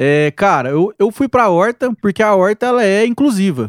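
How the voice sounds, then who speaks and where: On a very clean recording with a silent background, a man speaks with a dry, close sound and no echo. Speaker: agronomist and content creator. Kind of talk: casual interview chat.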